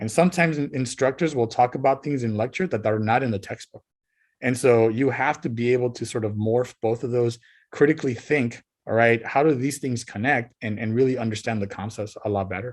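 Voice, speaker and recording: Speaking at a fairly quick pace in a Spanish accent, the man uses ordinary pitch variation. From Southern California (Montebello, Los Angeles area). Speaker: college professor and marine biologist. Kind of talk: guest talk to high school students, interview. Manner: casual, with many fillers and repetitions.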